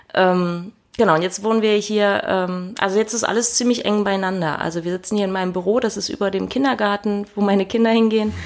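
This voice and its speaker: On a very clean recording with a silent background, a woman talks at a fairly quick pace with hardly any pauses, medium pitch and fairly even intonation. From Hannover region, Lower Saxony. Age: 30s. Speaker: deacon. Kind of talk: interview. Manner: hesitant, many fillers.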